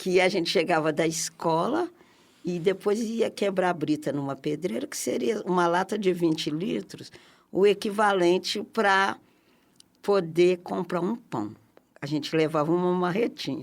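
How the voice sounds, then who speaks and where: A woman with an unremarkable speaking voice talks at a fairly slow pace and a fairly low pitch. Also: ordinary pitch variation. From Brazil, Minas Gerais (Barbacena). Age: 60s. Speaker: community activist. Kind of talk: interview.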